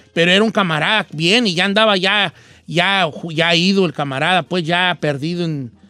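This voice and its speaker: The man's voice is high and has a bright, sharp tone. He keeps a moderate pace with ordinary pitch variation. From Mexico, Guadalajara. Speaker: radio host. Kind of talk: casual chat.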